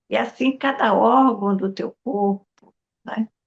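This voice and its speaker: Very slow speech from a woman, ordinary pitch variation throughout. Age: 80s+. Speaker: spiritual teacher. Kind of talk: podcast interview.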